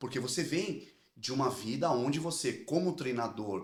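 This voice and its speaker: Very wide pitch swings run through a man's speech on a very clean recording with a silent background. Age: 40s. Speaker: podcast host. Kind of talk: interview.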